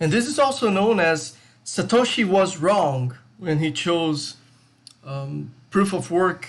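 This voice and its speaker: A man with a Brazilian accent speaks at a fairly slow pace, his high pitch carrying lively intonation. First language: Portuguese. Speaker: crypto YouTuber, IT tech lead. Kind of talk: video essay with slides. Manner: casual, hesitant with fillers.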